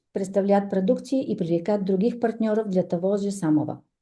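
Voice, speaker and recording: In a room with audible echo, a woman speaks with a dark, mellow tone. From Bulgaria. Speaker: entrepreneur, business speaker. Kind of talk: presentation read from phone. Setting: stage with audience. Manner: halting, many fillers.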